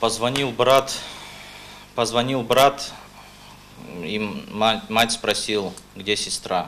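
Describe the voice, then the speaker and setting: Very slow speech from a man at medium pitch, with fairly even intonation, long, frequent pauses and light background noise. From North Ossetia, Russia (Beslan); North Ossetia, Russia. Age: 20s. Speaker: court witness; witness. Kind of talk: court testimony. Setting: courtroom. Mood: tense, subdued. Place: hall.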